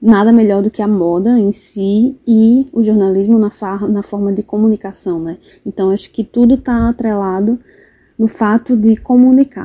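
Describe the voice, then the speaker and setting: A dark, mellow tone at a fairly slow pace, with fairly even intonation and a dry, close sound with no echo. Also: woman. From Brazil, interior of Rio Grande do Norte. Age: 20s. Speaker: fashion designer and journalism student. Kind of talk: interview.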